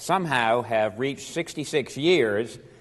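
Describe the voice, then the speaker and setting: With an American accent, a man talks at a fairly slow pace. His intonation is lively. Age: 60s. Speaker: lawyer and professor. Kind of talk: seminar talk. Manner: hesitant fillers.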